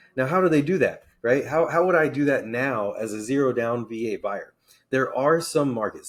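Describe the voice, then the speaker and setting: Here a man with medium pitch and an unremarkable speaking voice talks at a fairly quick pace. The recording is very clean, with a silent background. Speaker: realtor and Navy veteran. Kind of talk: educational explainer video.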